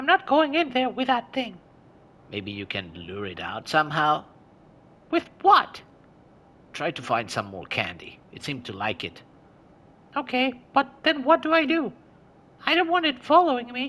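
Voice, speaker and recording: Using a put-on character voice at an extremely high pitch, a man speaks at a moderate pace with long, frequent pauses and big swings in loudness. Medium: solo performance. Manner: anxious, flustered.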